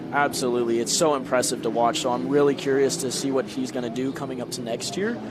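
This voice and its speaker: Talking very fast and hardly pausing, a man keeps fairly even intonation. Audible room echo and noticeable background noise come through. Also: medium pitch for a man. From Louisiana. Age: 20s. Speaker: racing driver. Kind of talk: interview.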